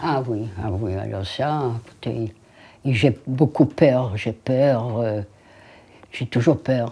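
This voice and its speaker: A woman's very deep, low pitch and dark, mellow tone at a very slow pace, with ordinary pitch variation and long, frequent pauses. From Lithuania. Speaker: Holocaust survivor. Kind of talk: interview answer.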